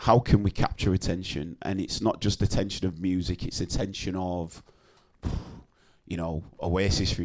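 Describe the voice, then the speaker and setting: At a moderate pace, a man with a Bradford accent talks in a very deep, low pitch. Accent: Bradford, dropped H's. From Bradford, northern England. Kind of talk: casual, conversational.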